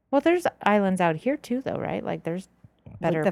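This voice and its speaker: With a Southern California accent, a woman talks at a fairly quick pace. The sound is dry and close, with no echo. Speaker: podcast co-host.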